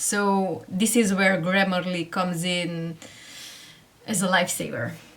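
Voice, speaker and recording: Speech at a fairly slow pace with fairly even intonation. The room echo is audible. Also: woman, medium pitch for a woman. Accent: Hungarian. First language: Hungarian. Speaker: online seller and tutorial creator. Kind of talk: tutorial.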